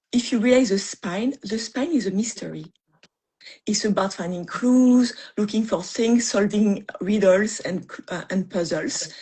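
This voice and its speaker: This woman speaks at a fairly slow pace with a French accent, her pitch medium. Her voice is somewhat breathy, with ordinary pitch variation. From France. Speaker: mystery author. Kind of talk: interview on writing craft. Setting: live video stream. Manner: halting, many fillers.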